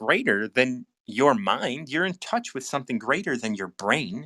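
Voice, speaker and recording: A man with an American accent, a bright, sharp tone and vocal fry. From United States. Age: 60s. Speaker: recovery mentor, livestream host. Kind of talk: casual live chat. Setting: live stream video call. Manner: repetitive, halting with many restarts.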